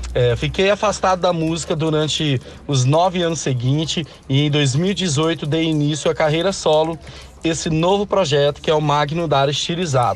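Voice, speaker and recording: Over noticeable background noise, a man talks at a moderate pace with a fairly high pitch, ordinary pitch variation and very even loudness. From Espírito Santo, Brazil (Linhares). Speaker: singer. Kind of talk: interview.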